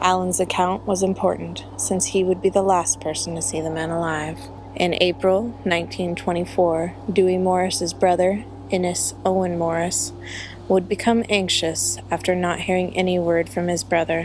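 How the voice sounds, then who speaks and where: Music plays in the background as a soft-spoken woman talks at a moderate pace. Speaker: true crime narrator. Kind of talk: true crime storytelling.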